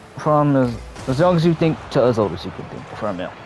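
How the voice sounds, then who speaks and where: A man with lively intonation, music playing in the background. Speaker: gaming youtuber. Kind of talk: personal talk to camera, unscripted. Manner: halting.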